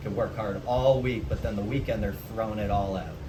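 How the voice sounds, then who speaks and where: A man with an American accent talks at a fairly quick pace. Background noise is noticeable and room echo is audible. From US Northeast (Massachusetts). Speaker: vlogger. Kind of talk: casual vlog monologue.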